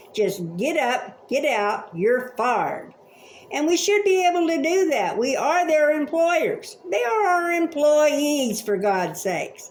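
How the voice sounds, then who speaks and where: Against noticeable background noise, a woman with an American accent speaks at a very slow pace. Her voice is high with very wide pitch swings, and her loudness is very even. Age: 70s. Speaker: vlogger. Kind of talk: opinion rant. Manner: animated.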